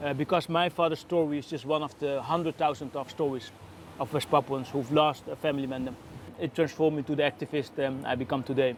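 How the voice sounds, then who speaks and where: A man speaks at a very fast pace in a Dutch accent. His pitch is fairly high and his intonation fairly even. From Netherlands. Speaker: activist. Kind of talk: testimony.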